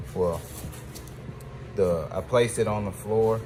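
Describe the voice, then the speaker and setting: There is noticeable background noise and audible room echo as a man speaks at a fairly low pitch. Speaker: DIY car builder. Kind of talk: casual how-to vlog. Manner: loud; casual.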